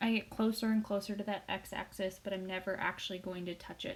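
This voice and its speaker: At a moderate pace, a woman speaks in a medium pitch that is somewhat breathy. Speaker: statistics teacher. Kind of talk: recorded lecture.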